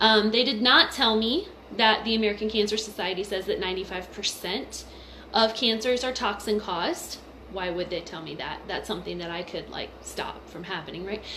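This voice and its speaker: Against noticeable background noise, a woman at a medium pitch shows ordinary pitch variation and big swings in loudness. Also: moderate pace. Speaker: mother and essential oils vlogger. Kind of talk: personal testimony vlog. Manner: casual, filler-heavy.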